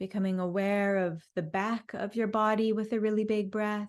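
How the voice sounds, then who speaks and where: A woman with a normal speaking voice talks at a fairly slow pace, her fairly high pitch held to a fairly even intonation. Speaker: guided meditation teacher. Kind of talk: guided meditation. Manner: slow, calm, soothing.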